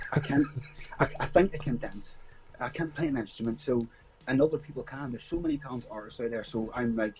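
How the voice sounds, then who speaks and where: A man with a strong Northern Irish accent speaks at a very fast pace, his medium pitch showing ordinary pitch variation. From Northern Ireland, small town. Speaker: music writer and promoter. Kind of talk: interview. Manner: halting.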